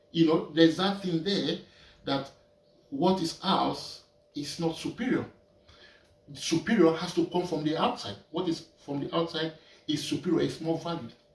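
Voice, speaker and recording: Over noticeable background noise, a man speaks in a high pitch at a moderate pace, with ordinary pitch variation and long, frequent pauses. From Nigeria. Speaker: painter. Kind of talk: casual talk while painting. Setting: art studio. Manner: halting, repeating words.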